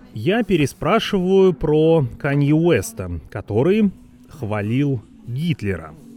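With music behind him, a man with a fairly high voice speaks very slowly, his pitch swinging very widely. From Vorkuta, northern Russia. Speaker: podcast host. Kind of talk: scripted narration.

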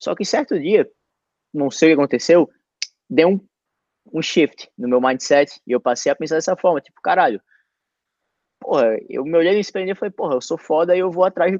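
His intonation is lively, set in a high pitch. The man moves along at a fairly quick pace. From Natal, northeastern Brazil. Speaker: podcast host, former college soccer player. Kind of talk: casual chat. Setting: video call livestream.

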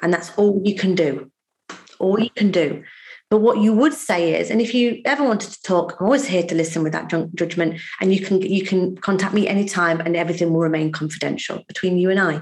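With ordinary pitch variation, a woman speaks at medium pitch in a normal speaking voice. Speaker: financial services trainer. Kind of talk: podcast interview.

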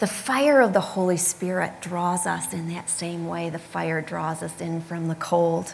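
Woman in a Midwestern accent, fairly low in pitch, with ordinary pitch variation, audible room echo and noticeable background noise. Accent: American Midwest. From US Midwest, Michigan. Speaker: preacher. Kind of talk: sermon.

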